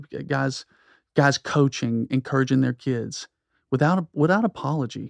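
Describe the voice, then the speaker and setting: With an American accent and an unremarkable speaking voice, the speaker goes at a moderate pace in a dry, close sound with no echo over a quiet background. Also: man, medium pitch for a man, ordinary pitch variation. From US South (South Georgia). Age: 40s. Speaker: pastor. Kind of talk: casual chat.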